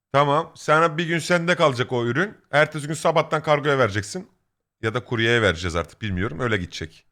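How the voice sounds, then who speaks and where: The bright, sharp voice swings very widely in pitch and shows vocal fry. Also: man, fairly high pitch for a man, fairly quick pace, very clean recording, silent background. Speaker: streamer. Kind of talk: casual chat. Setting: live stream.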